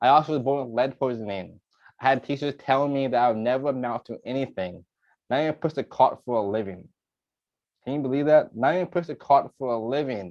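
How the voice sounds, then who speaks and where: A man speaks at a very fast pace with a medium pitch and ordinary pitch variation. The background is quiet. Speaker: real estate coach. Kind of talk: webinar presentation. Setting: video call. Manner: animated.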